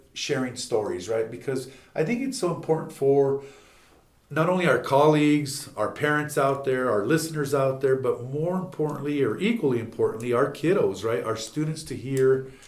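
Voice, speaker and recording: A man speaks in a fairly high pitch at a moderate pace. His pitch varies in an ordinary way, and there is audible room echo. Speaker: school superintendent and podcast host. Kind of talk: casual interview.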